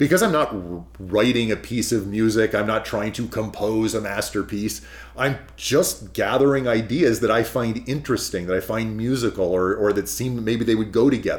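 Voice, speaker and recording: A man with an American accent speaks in a normal speaking voice at a moderate pace, with medium pitch and ordinary pitch variation. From California. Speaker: pianist and piano commissioner. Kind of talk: interview.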